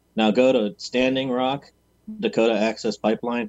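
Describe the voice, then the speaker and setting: A man uses a plain, everyday voice at medium pitch with fairly even intonation. The sound is dry with no echo over a quiet background. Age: 30s. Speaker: panelist. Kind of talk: casual chat. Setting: video call. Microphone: video call.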